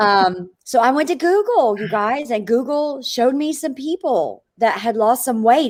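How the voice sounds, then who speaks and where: A woman talks with a Southern US accent. Her intonation is lively. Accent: Southern drawl. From Florida, small town. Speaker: network marketing entrepreneur. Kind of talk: interview. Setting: live video stream. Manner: animated.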